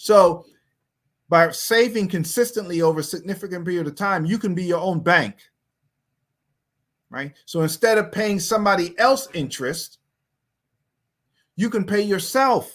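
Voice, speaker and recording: A man with an American accent speaks at a high pitch. He leaves long, frequent pauses. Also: ordinary pitch variation, moderate pace. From US, New York. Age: 60s. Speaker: pastor teaching personal finance. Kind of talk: online finance class. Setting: online livestream. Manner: casual.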